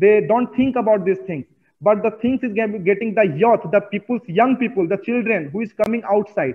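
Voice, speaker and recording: With ordinary pitch variation at a moderate pace, a man speaks in a high pitch. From India (Bihar, Bodhgaya). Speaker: climate activist and dance teacher. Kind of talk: interview. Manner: repetitive, halting non-native phrasing.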